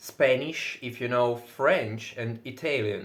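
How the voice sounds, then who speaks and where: A man's medium-pitched voice in a Russian accent, with ordinary pitch variation. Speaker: fitness vlogger. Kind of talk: casual monologue. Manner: loud.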